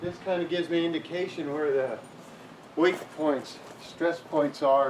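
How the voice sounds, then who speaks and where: Noticeable background noise sits behind a man whose voice is fairly high-pitched. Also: fairly slow pace. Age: 60s. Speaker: inventor and builder demonstrating his shed design. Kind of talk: tutorial. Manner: casual, with filler words.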